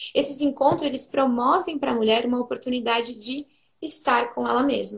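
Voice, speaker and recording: A woman at a moderate pace, with vocal fry. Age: 20s. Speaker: pedagogue and preschool teacher. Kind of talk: casual chat.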